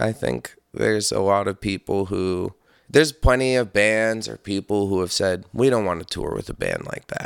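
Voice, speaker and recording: A man with an American accent speaks in a plain, everyday voice, fairly low-pitched, with ordinary pitch variation and at a moderate pace. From upstate New York. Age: 30s. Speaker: metal musician. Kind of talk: casual chat.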